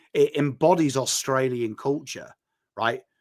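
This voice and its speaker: This voice carries a northern English accent. Its pitch variation is ordinary. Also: man. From northern England. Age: 40s. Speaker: football content creator. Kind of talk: casual chat. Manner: animated.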